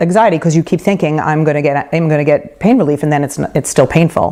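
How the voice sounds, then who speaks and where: A woman in a New York accent, fairly low in pitch, at a fairly quick pace with ordinary pitch variation. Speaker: midwife. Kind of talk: lecture. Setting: home talk group. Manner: fast.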